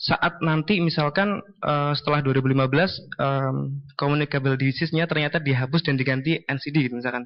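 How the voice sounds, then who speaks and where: A man with an Indonesian accent talks at a very fast pace. His pitch is fairly high and his intonation fairly even. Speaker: audience member asking questions. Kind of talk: Q&A question at symposium.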